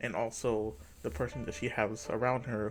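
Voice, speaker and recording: Vocal fry runs through a man's medium-pitched voice. He keeps a moderate pace. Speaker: gaming video creator. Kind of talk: casual video commentary. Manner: filler-heavy, says like a lot.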